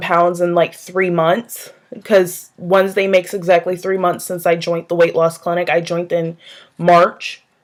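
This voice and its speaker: A woman with an ordinary speaking voice talks at a medium pitch and a moderate pace. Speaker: vlogger. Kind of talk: casual vlog monologue.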